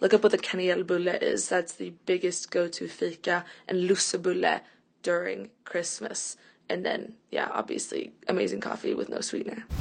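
A woman speaks with a Swedish accent. Her pace is moderate. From Sweden. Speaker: friend of host. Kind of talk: recorded explanation.

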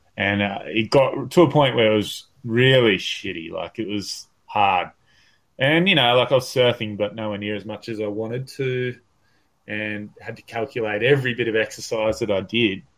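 A man speaks with an Australian accent at a medium pitch. His pace is moderate and his pitch variation ordinary. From northern New South Wales, Australia. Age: 30s. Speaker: professional bodyboarder. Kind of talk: casual interview chat. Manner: halting, many fillers; relaxed.

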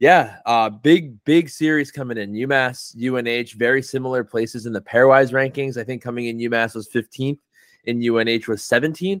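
A plain, everyday voice from a man, medium in pitch with ordinary variation, at a moderate pace. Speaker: podcast host. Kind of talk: casual podcast recap and rant.

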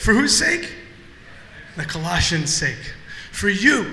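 With audible room echo and noticeable background noise, the speaker talks in an American accent. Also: man. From Ohio. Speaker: guest pastor. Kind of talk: sermon. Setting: church.

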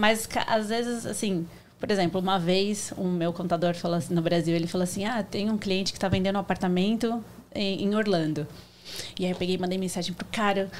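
A woman with a medium pitch and fairly even intonation talks in an unremarkable speaking voice. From Brazil, Santo André (São Paulo region). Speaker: supermarket owner. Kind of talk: casual interview.

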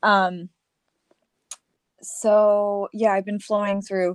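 Dry and close with no echo, a woman speaks very slowly at a medium pitch. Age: 20s. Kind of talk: casual chat.

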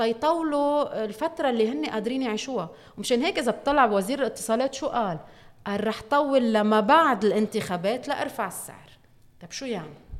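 Lively in intonation, a woman with an unremarkable speaking voice and a fairly high pitch talks at a moderate pace, her loudness swinging widely. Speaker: parliamentary candidate. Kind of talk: interview.

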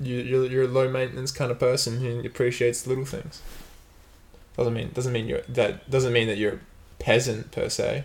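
A man with a medium pitch speaks at a moderate pace, his voice somewhat breathy and his intonation flat and monotone. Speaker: podcast host. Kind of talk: casual banter podcast chat.

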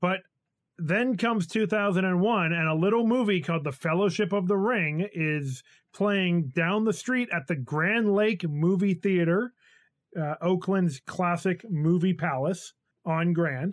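The pace is fairly slow, with ordinary pitch variation and very even loudness throughout. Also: man, high pitch for a man. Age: 30s. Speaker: podcast host. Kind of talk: casual chat.

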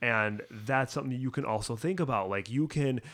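A man with an unremarkable speaking voice, medium in pitch, uses lively intonation in a very clean recording with a silent background. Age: 30s. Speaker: bike shop employee, podcast host. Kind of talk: casual chat.

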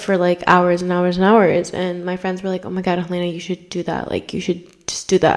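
Over noticeable background noise, a woman speaks at a moderate pace in a medium pitch. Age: 20s. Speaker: podcast host. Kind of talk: casual chat. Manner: casual, filler-heavy.

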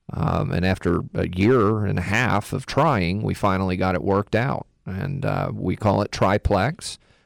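In a very clean recording with a silent background, a man with an American accent speaks at a fairly low pitch with ordinary pitch variation. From Texas. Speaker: insulation contractor. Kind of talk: radio interview.

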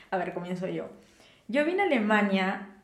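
Audible room echo follows a woman as she speaks. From Peru, Lima. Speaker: podcast co-host, architect. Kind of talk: casual chat.

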